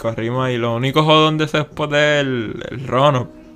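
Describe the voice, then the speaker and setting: A man with a normal speaking voice talks at a fairly high pitch with fairly even intonation. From Puerto Rico, San Juan (Santurce). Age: 20s. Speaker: skateboarder. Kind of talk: casual interview.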